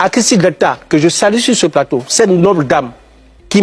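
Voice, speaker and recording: A man's animated, high-pitched voice at a moderate pace, ordinary pitch variation, dry and close with no echo, music in the background. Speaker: actor. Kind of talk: TV talk show interview. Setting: TV studio.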